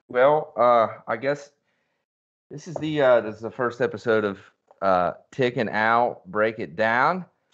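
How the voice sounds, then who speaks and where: Over a quiet background, a man with a Western Pennsylvania accent talks at a fairly slow pace and a medium pitch, with ordinary pitch variation and big swings in loudness. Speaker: podcast co-host. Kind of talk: casual chat.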